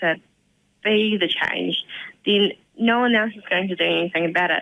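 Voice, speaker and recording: With a New Zealand accent, a woman speaks at a moderate pace, medium in pitch and fairly even in intonation. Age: young. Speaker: community volunteer. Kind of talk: radio interview.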